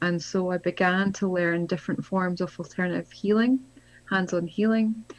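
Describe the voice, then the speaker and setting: Speech in a Scottish accent at a moderate pace, with fairly even intonation. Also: woman. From Scotland. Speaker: spiritual author and healer. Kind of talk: interview conversation.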